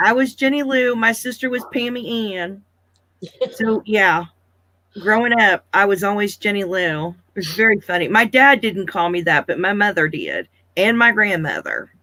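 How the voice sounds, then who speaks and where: With an American accent, a woman speaks at a medium pitch and moderate pace in a bright, sharp tone with ordinary pitch variation. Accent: Southern US accent mostly hidden. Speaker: live-stream host. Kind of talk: casual chat.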